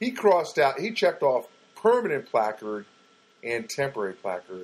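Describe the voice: At a moderate pace, a man speaks at medium pitch with very wide pitch swings.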